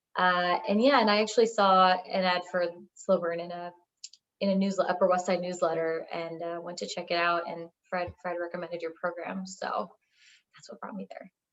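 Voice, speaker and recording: A woman's ordinary speaking voice, fairly low in pitch, at a moderate pace, with fairly even intonation and big swings in loudness. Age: 30s. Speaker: data scientist, coaching client. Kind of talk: testimony interview.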